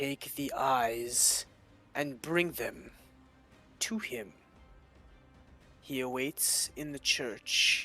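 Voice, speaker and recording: Using a put-on character voice at a medium pitch, a man speaks at a very slow pace with long, frequent pauses as faint music plays in the background. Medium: actual play. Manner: terse, commanding.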